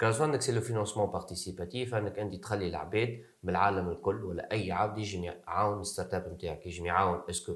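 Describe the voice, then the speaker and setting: Speaking at a very fast pace, a man keeps his voice at a fairly low pitch. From Tunisia. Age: 20s. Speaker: startup co-founder. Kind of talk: interview.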